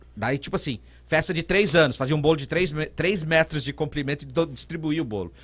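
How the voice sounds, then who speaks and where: A fairly high-pitched man with vocal fry, a fairly quick pace and ordinary pitch variation. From Brazil, São Paulo state (Vale do Paraíba, Aparecida / São José dos Campos). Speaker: radio presenter and DJ. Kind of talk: casual interview.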